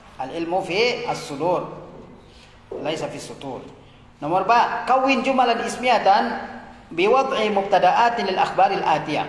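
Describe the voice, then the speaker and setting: A man's high-pitched voice, fairly slow in pace, with lively intonation and big swings in loudness, plus audible room echo and noticeable background noise. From Indonesia, outside Java. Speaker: Arabic teacher, Islamic cleric. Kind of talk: lecture. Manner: slow, repetitive drilling.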